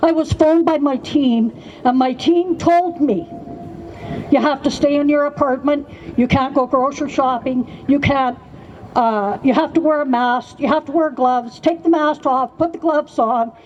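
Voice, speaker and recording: Noticeable background noise sits behind a woman whose high voice, with ordinary pitch variation, moves at a moderate pace. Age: 70s. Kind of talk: testimony.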